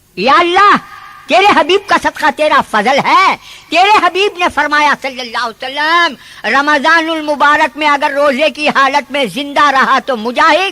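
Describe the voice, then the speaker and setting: A man with a Hyderabadi accent speaks in a raised, projected voice at an extremely high pitch with ordinary pitch variation. Noticeable background noise runs underneath. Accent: Telangana (Hyderabadi Deccani) Urdu. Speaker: Islamic preacher. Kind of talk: religious sermon. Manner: impassioned, exhorting.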